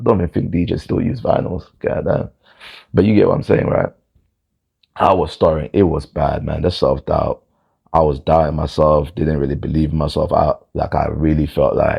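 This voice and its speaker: A man with a London accent talks at a moderate pace. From London, England. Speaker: vlogger. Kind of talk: personal storytelling monologue.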